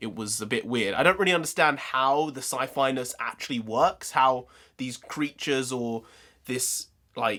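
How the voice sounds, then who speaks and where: The recording is very clean, with a silent background. A man speaks at medium pitch and a moderate pace in a bright, sharp tone, with ordinary pitch variation. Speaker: comedian and YouTube film reviewer. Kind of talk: casual film review to camera. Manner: casual, rambling, with filler words.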